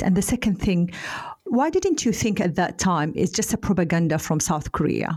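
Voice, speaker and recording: Somewhat breathy, a woman with an Arabic accent speaks at medium pitch with lively intonation. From Saudi Arabia. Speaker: podcast host, cybersecurity expert. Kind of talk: podcast interview.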